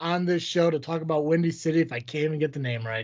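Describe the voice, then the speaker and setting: Lively in intonation, a man speaks at a high pitch. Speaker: wrestling podcast host. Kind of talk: casual chat. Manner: fast.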